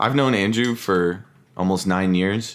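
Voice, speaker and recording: A man's fairly slow speech. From Italian-American family. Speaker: podcast co-host. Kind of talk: casual chat. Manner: loud. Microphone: new mic.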